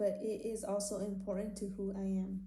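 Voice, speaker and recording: In a room with audible echo, a woman speaks at a medium pitch. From California Central Valley, raised bilingual after early childhood in Mexico. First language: Spanish. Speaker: university student. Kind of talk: class presentation. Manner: reads from script, somewhat halting.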